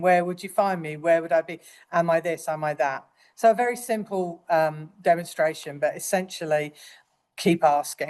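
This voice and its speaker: In a quiet background, a woman speaks with an English accent. Her pitch is fairly low and her pace moderate. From England. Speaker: nurse educator. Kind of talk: lecture.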